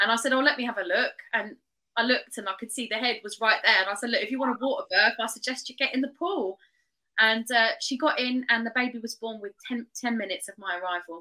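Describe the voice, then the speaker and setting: Talking at a very fast pace over a quiet background, a woman has a fairly high pitch and a bright, sharp tone. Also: ordinary pitch variation. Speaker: traditional birth attendant and doula trainer; guest. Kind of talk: interview conversation. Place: home room. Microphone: video call.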